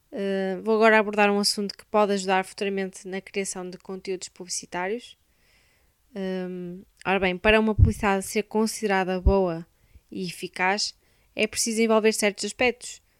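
A woman's medium-pitched monotone at a moderate pace, with big swings in loudness and a dry, close sound with no echo. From Portugal, Braga. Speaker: university student. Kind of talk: scripted narration.

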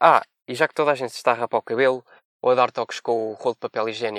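A plain, everyday voice from a man, medium in pitch with ordinary pitch variation, at a fairly quick pace. The sound is dry and close with no echo, in a very clean recording with a silent background. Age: 20s. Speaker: veterinary student. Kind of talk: comedy segment with jokes.

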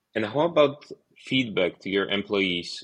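Against a quiet background, a man with an unremarkable speaking voice talks fairly slowly at a medium pitch. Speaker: podcast host, software agency owner. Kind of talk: interview conversation.

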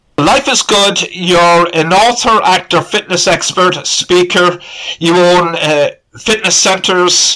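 A man with an Irish accent, a high pitch, a bright, sharp tone, ordinary pitch variation, very even loudness and a very slow pace. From Ireland. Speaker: podcast host. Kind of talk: interview.

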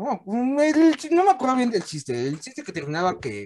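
With a dark, mellow tone, a man speaks at a moderate pace, his pitch making very wide swings. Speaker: podcast host. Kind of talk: casual chat. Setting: video call.

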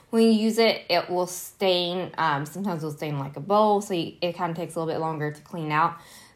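A speaker with a slight country accent and lively intonation. The recording is very clean, with a silent background. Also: woman. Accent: slight country twang. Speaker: solo podcast host. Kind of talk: casual solo talk. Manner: casual with many fillers.

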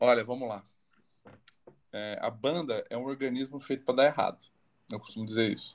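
Medium-pitched male speech at a fairly quick pace, with long, frequent pauses, fairly even intonation and big swings in loudness. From Barretos, São Paulo state, Brazil. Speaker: singer-songwriter. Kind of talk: casual interview.

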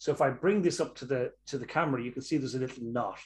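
With a Dublin accent, a man speaks in a fairly high, somewhat breathy voice with lively intonation. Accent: Irish (Dublin). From Ireland, Dublin. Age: 60s. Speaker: clinical anatomist and movement teacher. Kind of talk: interview with anatomy demonstration. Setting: video call.

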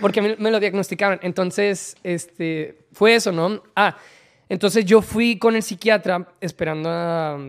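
On a very clean recording with a silent background, a man speaks at a fairly slow pace with fairly even intonation. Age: 30s. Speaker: content creator and swim coach. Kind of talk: interview.

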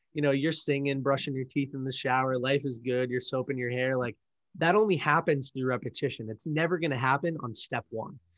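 Speaking at a fairly quick pace, a man has an unremarkable speaking voice of medium pitch with ordinary pitch variation. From Massachusetts, south of Boston. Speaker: entrepreneur, book community founder. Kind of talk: casual interview.

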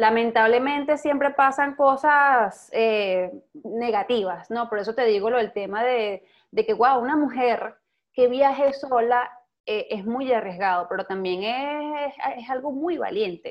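A woman's high-pitched, animated tone at a fairly slow pace, with ordinary pitch variation. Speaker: podcast host. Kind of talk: interview. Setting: at home.

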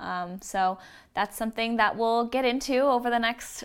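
Fairly high in pitch, a woman with an ordinary speaking voice talks at a moderate pace with ordinary pitch variation. The recording is very clean, with a silent background. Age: 20s. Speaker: social media manager and co-host. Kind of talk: scripted outro; casual chat.

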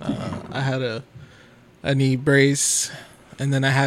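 Noticeable background noise sits behind this man. He talks at a fairly slow pace in a monotone, flat intonation. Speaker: hospital worker and podcast host. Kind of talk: casual banter podcast chat.

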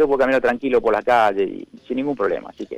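With ordinary pitch variation, a man talks very fast. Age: 70s. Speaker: judge. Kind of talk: interview. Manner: halting, frequent repetitions.

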